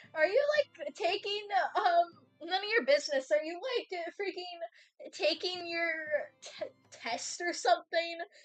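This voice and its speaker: Over music in the background, a woman with an American accent speaks at an extremely high pitch with very wide pitch swings. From United States. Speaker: streamer. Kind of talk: live stream chat. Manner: animated.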